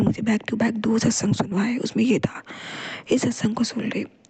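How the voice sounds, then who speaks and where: At a moderate pace, a woman speaks in a fairly high, flat monotone. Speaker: devotional vlogger. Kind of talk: devotional testimony.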